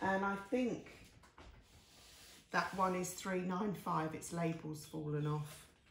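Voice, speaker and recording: A woman talks at a very slow pace with long, frequent pauses, her voice somewhat breathy and fairly low in pitch with ordinary pitch variation. Audible room echo surrounds her. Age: 60s. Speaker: artist. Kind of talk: casual talk-through of paintings on video. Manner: chatty, with fillers and self-corrections.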